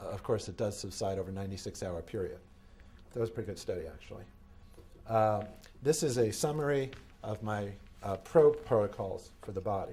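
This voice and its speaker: A man with fairly low pitch and ordinary pitch variation talks at a fairly quick pace with long, frequent pauses, sounding somewhat breathy amid audible room echo. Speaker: medical device inventor and lecturer. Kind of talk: conference lecture. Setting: conference hall with audience. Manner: fast.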